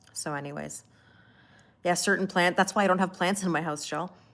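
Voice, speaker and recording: With a Canadian accent, a woman speaks at medium pitch and a moderate pace. Her intonation is fairly even, on a very clean recording with a silent background. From Canada. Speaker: tarot reader. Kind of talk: live-stream chat with tarot reading. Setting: live stream. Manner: casual, chatty.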